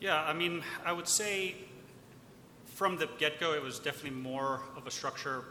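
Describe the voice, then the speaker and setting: There is noticeable background noise. Behind it, a man speaks at a fairly high pitch. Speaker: investment manager. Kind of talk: panel discussion.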